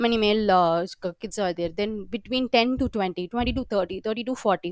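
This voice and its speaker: A woman's fairly high voice at a fairly quick pace with ordinary pitch variation, in a dry, close sound with no echo. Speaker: software trainer. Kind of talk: live training session. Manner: fast; halting with fillers.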